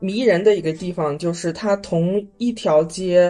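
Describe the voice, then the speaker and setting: Her tone dark and mellow, a woman speaks in a medium pitch with ordinary pitch variation. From Inner Mongolia, Baotou. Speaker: traveler sharing trip experience. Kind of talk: casual chat. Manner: hesitant, many fillers.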